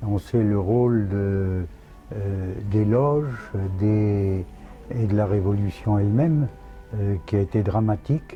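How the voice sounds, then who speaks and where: With music in the background, a man with a fairly low pitch speaks at a very slow pace with ordinary pitch variation. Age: 80s+. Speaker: royal pretender. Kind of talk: interview answer.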